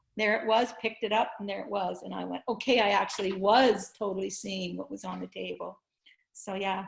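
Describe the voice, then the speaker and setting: Her loudness swinging widely, a woman talks at a fairly quick pace. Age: 60s. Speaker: blindfold vision teacher. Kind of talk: interview.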